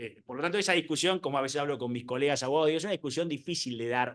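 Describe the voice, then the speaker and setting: The man's voice sits at a fairly high pitch. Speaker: lawyer and conference speaker. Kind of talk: conference talk. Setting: conference hall with live and online audience. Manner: hesitant, many fillers and repetitions.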